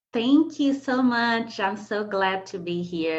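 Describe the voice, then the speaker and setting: A woman's voice at a very slow pace with very wide pitch swings. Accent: Portuguese. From Brazil, Bahia. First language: Portuguese. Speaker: poet and scholar. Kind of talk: interview.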